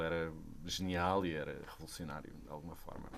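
Moderate pace from a man with a very deep, low pitch. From Sesimbra, Portugal. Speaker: theatre director and actor. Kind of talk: casual chat.

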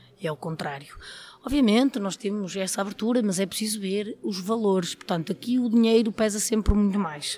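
A woman's ordinary speaking voice at a medium pitch, with a moderate pace and ordinary pitch variation. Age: 30s. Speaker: trade unionist in footwear industry. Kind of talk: interview.

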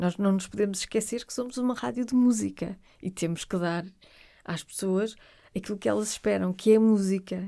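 A woman's dark, mellow tone at a moderate pace, in a very clean recording over a silent background. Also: medium pitch for a woman, ordinary pitch variation. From Portugal, Porto. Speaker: radio presenter. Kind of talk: interview conversation.

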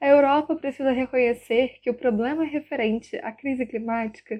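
High-pitched female speech at a moderate pace, its pitch varying in an ordinary way. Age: 20s. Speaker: university student. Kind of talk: prepared opinion statement.

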